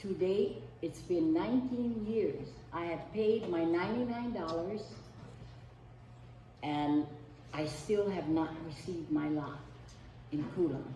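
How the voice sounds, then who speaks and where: Amid noticeable background noise and audible room echo, the speaker uses lively intonation at a fairly slow pace with long, frequent pauses. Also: woman, fairly low pitch for a woman. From Hawaii, East Maui. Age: 70s. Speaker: community member giving testimony. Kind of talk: public testimony.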